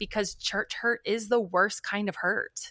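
A woman talks at a fairly slow pace in a medium pitch, her tone bright and sharp but her intonation flat and monotone. The sound is dry and close with no echo, on a very clean recording with a silent background. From northern Kentucky, Cincinnati area. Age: 40s. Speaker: author, speaker and worship leader. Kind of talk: casual chat.

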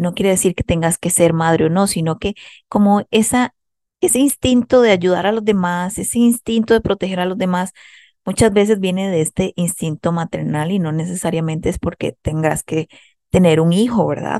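With a Costa Rican accent, a woman speaks at medium pitch and a moderate pace, her dark, mellow tone carrying ordinary pitch variation in a dry, close recording with no echo and a quiet background. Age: 30s. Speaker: psychologist and podcast host. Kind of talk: self-help monologue.

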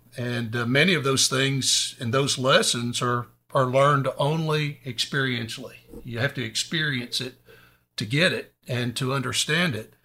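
With an East Texas accent, a man speaks at a moderate pace and medium pitch, his tone bright and sharp and his intonation fairly even. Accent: East Texas Southern. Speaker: preacher and Air Force veteran. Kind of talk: casual Bible discussion. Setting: studio.

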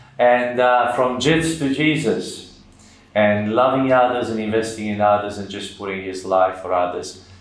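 Here a man speaks with an Australian accent at medium pitch, using ordinary pitch variation. Noticeable background noise can be heard. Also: moderate pace. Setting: studio.

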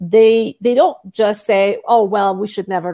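A woman's voice, fairly high in pitch, carries a dark, mellow tone. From Iran. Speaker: startup founder. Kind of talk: casual interview chat.

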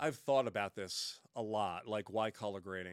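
The speaker is a man with a fairly low voice. He moves at a fairly quick pace. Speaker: colorist and color grading instructor. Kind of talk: casual interview chat. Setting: video call. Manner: animated, not monotone.

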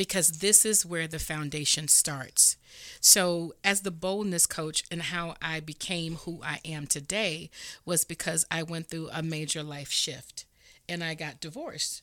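On a very clean recording with a silent background, a woman with a fairly low pitch and a bright, sharp tone speaks at a fairly slow pace. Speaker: coach and speaker. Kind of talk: pep talk. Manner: energetic; emphatic.

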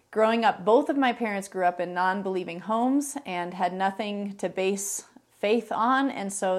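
A normal speaking voice with an American accent carries ordinary pitch variation. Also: woman. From US Midwest, Chicago northern suburbs. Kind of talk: testimony interview.

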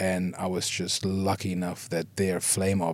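A man with a German accent speaks at a fairly slow pace in a very deep, low pitch. The recording is very clean, with a silent background. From Germany. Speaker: visual effects artist. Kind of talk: interview.

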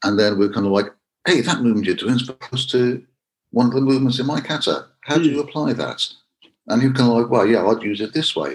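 A man speaks at medium pitch with ordinary pitch variation. His pace is very fast. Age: 50s. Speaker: karate instructor. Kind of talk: interview.

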